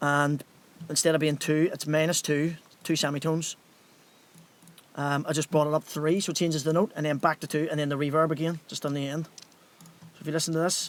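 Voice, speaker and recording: The speech moves at a fairly quick pace in a Northern Irish accent. The sound is dry, with no echo. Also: man. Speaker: music producer and DJ; DJ. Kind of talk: livestream tutorial. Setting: home studio, live stream. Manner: fast; casual, conversational. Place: studio.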